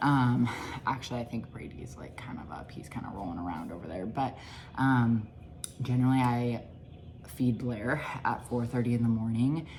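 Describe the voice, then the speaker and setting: Quiet and with a very deep, low pitch, a woman speaks at a moderate pace with ordinary pitch variation, long, frequent pauses and audible room echo. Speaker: nutrition coach and mom vlogger. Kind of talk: casual vlog narration. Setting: at home. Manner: quiet, hushed.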